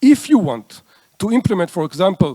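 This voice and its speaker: A man in an Israeli accent with a dark, mellow tone, at a moderate pace, in a dry, close sound with no echo on a very clean recording with a silent background. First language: Hebrew. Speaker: conference speaker. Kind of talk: lecture. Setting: stage with audience.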